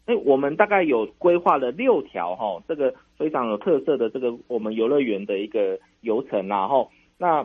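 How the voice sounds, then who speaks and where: This man's voice sits at a medium pitch and makes very wide pitch swings. His pace is moderate. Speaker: national tourism official. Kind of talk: radio interview. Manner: hesitant, many fillers.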